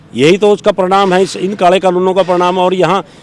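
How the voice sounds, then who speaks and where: A man's high-pitched voice, dry with no echo. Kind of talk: press statement. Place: street. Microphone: handheld.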